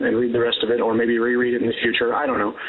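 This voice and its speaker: Over noticeable background noise, the speaker goes at a very fast pace. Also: man. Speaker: caller. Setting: phone call.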